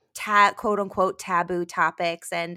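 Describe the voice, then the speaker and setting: The voice has a bright, sharp tone and fairly even intonation. The sound is dry and close with no echo, on a very clean recording with a silent background. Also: woman. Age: 30s. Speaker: musical theater actor. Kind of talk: casual chat.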